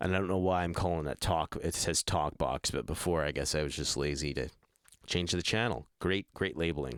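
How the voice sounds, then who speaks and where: Vocal fry runs through a man's very deep, low voice at a fairly quick pace. The sound is dry and close with no echo, on a very clean recording with a silent background. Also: ordinary pitch variation. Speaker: music producer. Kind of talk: tutorial. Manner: casual, halting.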